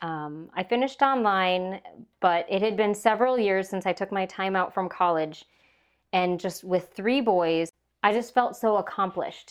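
A woman with an Upper Midwest accent speaks with ordinary pitch variation. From Minnesota. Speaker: podcast host. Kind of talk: casual chat. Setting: home, over tea.

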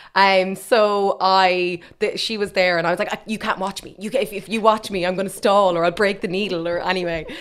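Someone with an Irish Midlands accent talks at a fairly quick pace, with hardly any pauses. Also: woman, medium pitch for a woman. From Ireland, Westmeath. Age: 30s. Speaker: fertility clinic operations manager. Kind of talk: interview about personal experience. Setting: studio. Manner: animated.

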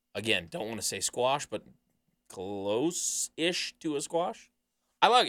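The speaker's bright, sharp voice swings very widely in pitch at a fairly slow pace. Long, frequent pauses break it up, and the sound is dry and close with no echo. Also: man, medium pitch for a man. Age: 20s. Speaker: wrestling podcast host. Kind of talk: casual chat.

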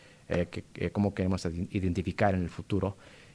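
A man speaks at a fairly quick pace in a dark, mellow tone. The recording is very clean, with a silent background. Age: 30s. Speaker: playwright. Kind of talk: interview.

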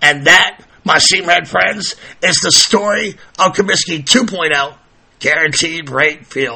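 Over noticeable background noise, a man with an American accent talks at a very slow pace, his voice fairly high with ordinary pitch variation. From South Carolina. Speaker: podcast host. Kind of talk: scripted-style podcast monologue about stadium history. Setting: studio. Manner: animated, playful.

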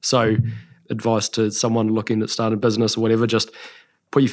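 Speaking in a New Zealand accent, a man holds a medium pitch with monotone, flat intonation. The recording is very clean, with a silent background. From New Zealand, Taranaki. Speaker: skincare entrepreneur. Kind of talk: interview.

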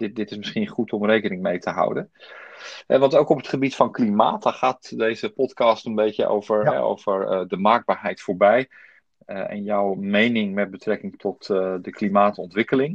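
A man speaks at a fairly low pitch with fairly even intonation. The sound is dry and close, with no echo. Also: moderate pace. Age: 50s. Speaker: podcast host. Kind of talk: interview. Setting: home, remote recording via app.

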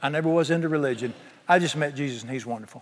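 A man talks at a very fast pace. He has a Southern US accent. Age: 60s. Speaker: pastor. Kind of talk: sermon. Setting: church. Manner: animated.

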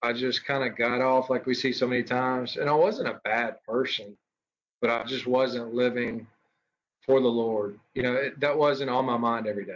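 This man speaks with a Mississippi accent at a medium pitch and a moderate pace. His intonation stays fairly even. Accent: Southern US (Mississippi). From US South, Mississippi. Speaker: college baseball coach. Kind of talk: podcast interview. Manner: halting, with fillers and repeats.

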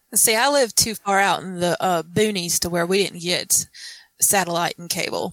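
A woman talks in a Southern US accent with ordinary pitch variation. Her loudness swings widely on a very clean recording with a silent background. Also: medium pitch for a woman, moderate pace. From South Carolina. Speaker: guest. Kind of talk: casual chat.

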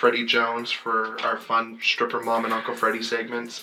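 The delivery is fairly slow, and noticeable background noise runs throughout. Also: man. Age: 30s. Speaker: podcast co-host and comedian. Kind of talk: casual chat.

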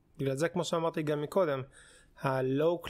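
A man talks in a plain, everyday voice, fairly high in pitch, with fairly even intonation and a moderate pace. The recording is very clean, with a silent background. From Israel, religious community. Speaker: podcast co-host, doctoral student in archaeology. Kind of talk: casual chat; explaining history.

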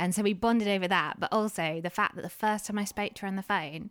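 A woman speaks at a fairly quick pace with medium pitch in a plain, everyday voice. The recording is very clean and dry, close with no echo, against a silent background. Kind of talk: casual interview chat.

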